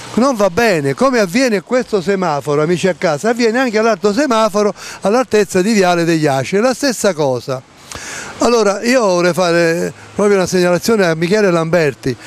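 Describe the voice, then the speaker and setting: Talking at a fairly quick pace, a man with a high pitch uses lively intonation in a dry sound with no echo. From Campania, Italy. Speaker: local TV presenter. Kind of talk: commentary. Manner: animated. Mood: indignant, sarcastic.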